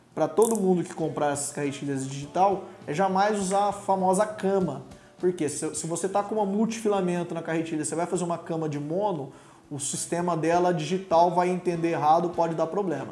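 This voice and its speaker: High-pitched and fairly quick, a man's voice carries audible room echo over light background noise. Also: ordinary pitch variation. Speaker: presenter. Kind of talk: tutorial. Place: studio.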